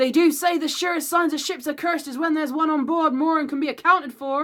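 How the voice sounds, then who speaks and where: A put-on character voice comes through at a high pitch. The delivery runs at a very fast pace. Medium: read story.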